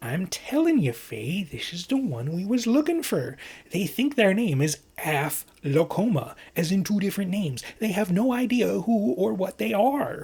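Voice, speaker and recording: Using a put-on character voice, a man speaks in a high pitch at a moderate pace. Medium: read story. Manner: colloquial, dropped g's.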